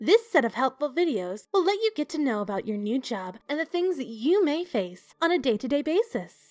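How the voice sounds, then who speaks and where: With music in the background, a woman speaks at a moderate pace and a high pitch, her voice swinging very widely and hardly pausing, in a dry, close sound with no echo. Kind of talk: horror fiction narration.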